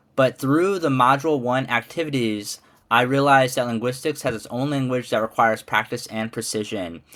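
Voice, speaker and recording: A man with a Midwestern accent at medium pitch, ordinary pitch variation and a fairly quick pace, on a very clean recording with a silent background. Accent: American Midwest. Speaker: ESL teacher and graduate student. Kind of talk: class presentation. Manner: casual, hesitant with fillers.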